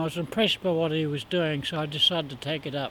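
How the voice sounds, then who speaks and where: Fairly quick speech from a man in a New Zealand accent. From New Zealand, Palmerston North. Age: 60s. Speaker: street juggler. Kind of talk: interview. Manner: halting.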